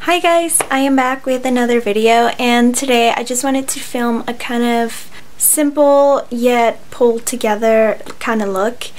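Woman's voice, high pitch, fairly slow pace, fairly even intonation, light background noise. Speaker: beauty vlogger. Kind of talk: casual vlog chat, then tutorial. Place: home room. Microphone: phone near.

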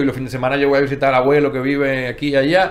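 A man speaks with a pitch that runs fairly high. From Dominican Republic, Santo Domingo; Dominican Republic. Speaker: panel guest, creative professional; guest. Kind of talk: panel discussion. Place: studio. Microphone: studio mic.

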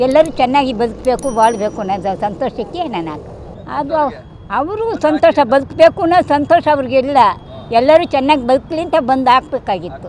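A woman speaks in a high pitch with lively intonation and big swings in loudness. The sound is dry with no echo, with light background noise. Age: 80s+. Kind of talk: interview answer. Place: hall. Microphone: handheld.

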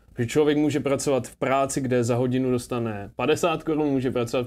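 The intonation of this man stays fairly even. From Czechia, Zlín; Czechia. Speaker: entrepreneur; interview guest. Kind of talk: casual interview. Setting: rented luxury apartment. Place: studio. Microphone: lapel.

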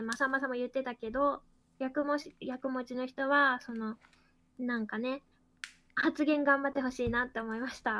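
A woman talks at a moderate pace in a high pitch. Her intonation stays fairly even. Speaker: game room moderator and player. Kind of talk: rules explanation and game discussion.

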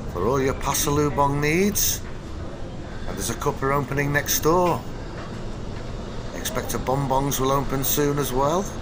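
Over noticeable background noise, the voice moves at a fairly slow pace with ordinary pitch variation. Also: man. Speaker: travel vlogger. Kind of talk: travel guide commentary. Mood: relaxed, lightly wry. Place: station.

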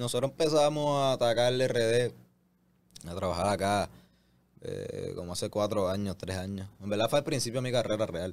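His pitch varying in an ordinary way, the man delivers his words at a moderate pace. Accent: Puerto Rican. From Puerto Rico. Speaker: reggaeton artist. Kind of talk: interview. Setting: studio. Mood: pleased, relaxed. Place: studio. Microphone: studio mic.

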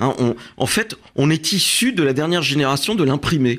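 A man speaks at a fairly quick pace with a fairly high pitch for a man. The background is quiet. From France. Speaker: author and immigration agency director; guest. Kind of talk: radio interview; interview answer. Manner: halting, many hesitations. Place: studio. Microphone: studio mic.

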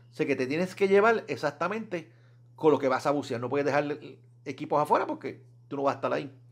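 A man talks very fast at a fairly high pitch, with ordinary pitch variation. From Puerto Rico, Fajardo. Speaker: scuba diving YouTuber. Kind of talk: casual solo vlog talk. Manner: conversational, hesitant with repetitions.

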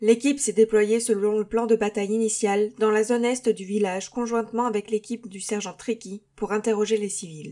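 Speaking with hardly any pauses at a moderate pace, a woman uses a dark, mellow tone, a fairly high pitch, and monotone, flat intonation. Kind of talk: sci-fi audio drama, mission report read aloud. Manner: formal, clipped, military.

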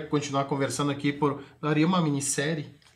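A man with a fairly high voice speaks in a flat monotone. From Brazil, Rio Grande do Sul (Itaqui, western border); Rio Grande do Sul, Brazil. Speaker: sales executive and NFT entrepreneur; sales executive. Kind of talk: TV interview. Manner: hesitant with many fillers. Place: studio.

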